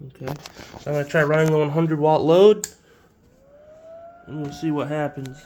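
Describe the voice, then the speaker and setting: A man speaks with long, frequent pauses, fairly even intonation, and big swings in loudness over noticeable background noise. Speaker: inventor demonstrating device. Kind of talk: tutorial demonstration. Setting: farm field and kitchen. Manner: halting.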